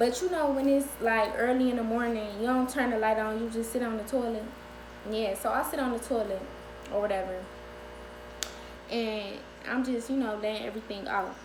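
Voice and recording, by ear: A woman's fairly high-pitched voice at a moderate pace, with fairly even intonation over clear background noise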